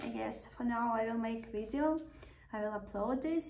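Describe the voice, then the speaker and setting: A woman speaks at a moderate pace with a non-native accent. The room echo is audible and there is noticeable background noise. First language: not English. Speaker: vlogger. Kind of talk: casual vlog monologue.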